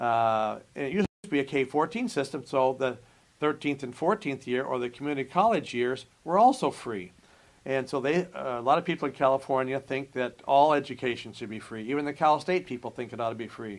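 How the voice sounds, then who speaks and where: An unremarkable speaking voice from a man with an American accent, medium in pitch, fairly quick in pace, with ordinary pitch variation on a very clean recording with a silent background. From Nebraska, US Midwest. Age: 60s. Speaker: college administrator. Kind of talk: interview.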